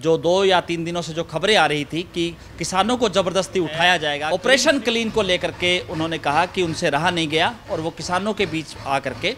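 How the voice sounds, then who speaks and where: At a moderate pace, a man speaks with a high pitch and ordinary pitch variation over light background noise. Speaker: news reporter. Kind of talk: news report intro and interview question. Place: garden. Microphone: handheld.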